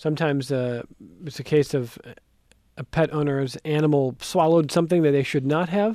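A man in a normal speaking voice, fairly high in pitch, with ordinary pitch variation and a fairly quick pace. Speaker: radio host. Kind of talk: call-in radio show. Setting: studio.

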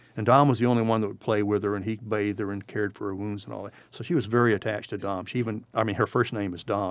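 In a very clean recording with a silent background, a man with a South Carolina accent talks at a very fast pace and a fairly low pitch. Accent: Southern US (South Carolina). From US South, South Carolina (Bamberg County). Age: 60s. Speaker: war veteran. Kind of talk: interview. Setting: studio.

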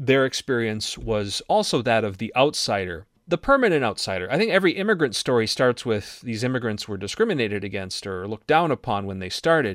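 Talking at a fairly quick pace with hardly any pauses, a man with an Upper Midwest accent uses lively intonation at medium pitch. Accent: Upper Midwest (Minnesota). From Minnesota, Iron Range. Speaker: radio show founder and commentator. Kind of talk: conversational political discussion. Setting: remote recording.

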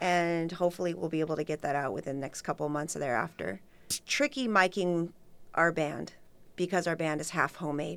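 In a normal speaking voice with an American accent, a woman talks at a fairly quick pace, her fairly low pitch showing ordinary variation, on a very clean recording with a silent background. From Redlands, California. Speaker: event organizer and DJ. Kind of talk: radio interview.

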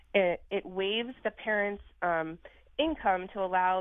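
A woman with an American accent speaks at a fairly slow pace in an unremarkable speaking voice, her medium pitch carrying fairly even intonation. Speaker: caller. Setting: phone call.

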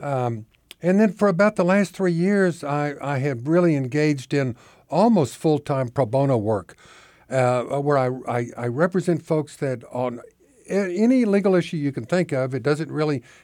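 An unremarkable speaking voice from a man with an American accent, fairly high in pitch, with lively intonation at a moderate pace. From Oklahoma. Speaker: retired judge and reform activist. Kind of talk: interview.

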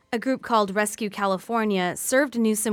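Music plays in the background as a woman speaks. Her intonation is fairly even, at a moderate pace. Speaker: radio news anchor. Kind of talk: radio newsreading, scripted headlines. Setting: radio studio. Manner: formal, even-paced, neutral.

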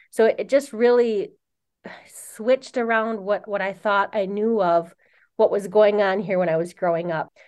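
An unremarkable speaking voice, a woman at a medium pitch and moderate pace, in an American accent with ordinary pitch variation. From Wisconsin, Oneida Reservation near Green Bay. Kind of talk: interview.

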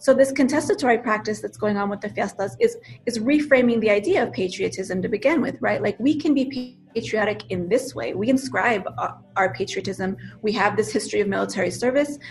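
The speaker has a New Mexico accent and lively intonation. The pace is fairly quick, with noticeable background noise behind the voice. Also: woman, fairly high pitch for a woman. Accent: New Mexican English. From US Southwest (Albuquerque, New Mexico). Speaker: professor and author. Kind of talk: interview.

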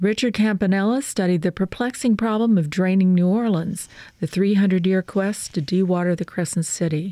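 In a very clean recording with a silent background, a woman speaks at a medium pitch with a dark, mellow tone and very even loudness. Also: ordinary pitch variation, moderate pace. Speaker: radio host. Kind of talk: radio book show with interviews. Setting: studio.

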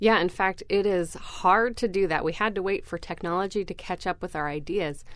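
A woman talks in a plain, everyday voice at a medium pitch. Her intonation is fairly even and she hardly pauses. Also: moderate pace. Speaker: research scientist. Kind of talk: radio interview.

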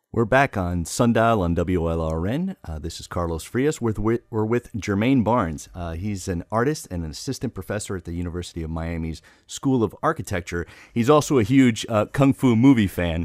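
A man with a plain, everyday voice speaks fairly quickly at a fairly low pitch with lively intonation, on a very clean, dry, close recording with no echo and a silent background. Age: 40s. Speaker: radio host. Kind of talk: radio interview. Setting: radio studio.

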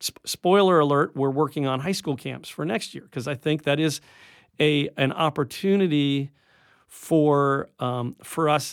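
In a very clean recording with a silent background, a man with a plain, everyday voice speaks fairly slowly at a fairly high pitch, his intonation fairly even. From upstate New York. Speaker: science center director. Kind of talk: radio interview. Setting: radio studio.

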